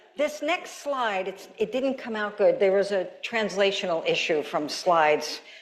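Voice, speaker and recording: A woman speaks at a medium pitch and a fairly slow pace, with very wide pitch swings and hardly any pauses. Audible room echo and noticeable background noise are present. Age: 70s. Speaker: keynote speaker, gerontology professor. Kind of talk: conference keynote talk. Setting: stage with audience. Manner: animated.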